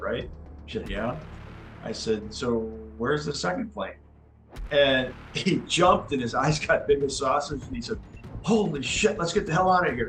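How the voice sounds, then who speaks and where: Over music in the background, a man with an American accent speaks at a moderate pace in a fairly high pitch, his intonation lively and his pauses long and frequent. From Wisconsin, USA. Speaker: army officer, Wisconsin National Guard veteran. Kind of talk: oral history interview answer.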